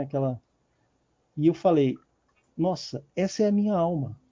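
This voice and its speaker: The man's pitch is fairly high, with lively intonation. He moves at a moderate pace. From São Paulo, Brazil. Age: 50s. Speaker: writer and journalist. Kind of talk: interview. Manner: halting, with many repetitions.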